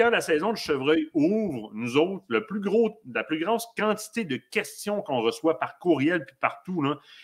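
Over a quiet background, a man's voice moves in very wide pitch swings. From Quebec. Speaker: hunting show host. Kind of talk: live stream interview. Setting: studio. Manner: animated. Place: home room. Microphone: webcam.

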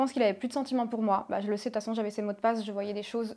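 This woman's fairly high voice carries fairly even intonation. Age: 20s. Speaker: reality TV contestant and influencer; influencer. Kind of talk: interview testimony. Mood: serious, confiding about painful memories. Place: studio. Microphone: lapel.

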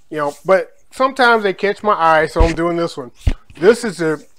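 At a moderate pace, a man speaks in a high voice. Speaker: food vlogger. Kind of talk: casual vlog chat. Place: kitchen. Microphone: phone near.

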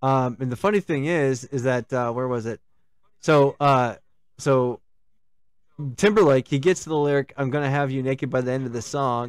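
Long, frequent pauses break up speech at a moderate pace with ordinary pitch variation, the sound dry with no echo and the background quiet. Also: man. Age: 40s. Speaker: gaming stream host. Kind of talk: casual chat. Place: home room. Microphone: studio mic.

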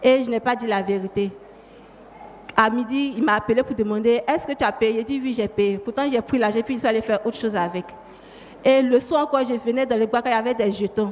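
At a fairly quick pace but with long, frequent pauses, a woman with a fairly high pitch speaks in fairly even intonation over noticeable background noise. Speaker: church member giving testimony. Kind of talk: testimony. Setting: church.

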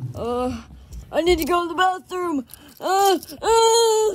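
A cartoonish character voice with an extremely high pitch speaks at a fairly slow pace. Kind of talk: improvised puppet comedy skit.

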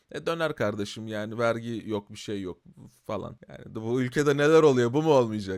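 A man with a plain, everyday voice, lively intonation and a fairly quick pace. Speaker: YouTuber commenting on current affairs. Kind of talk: casual commentary video. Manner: conversational, filler-heavy.

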